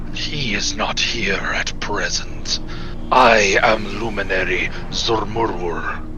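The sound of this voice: Against loud background noise, a man puts on a character voice at medium pitch and a very slow pace.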